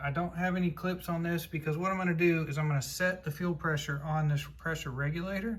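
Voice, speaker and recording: A man talks with fairly even intonation, and audible room echo surrounds his voice. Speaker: car restoration YouTuber. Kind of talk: tutorial. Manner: loud.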